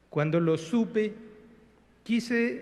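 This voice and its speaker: A man with a Paraguayan accent and ordinary pitch variation. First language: Guarani (speaking Spanish). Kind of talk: formal speech. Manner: formal.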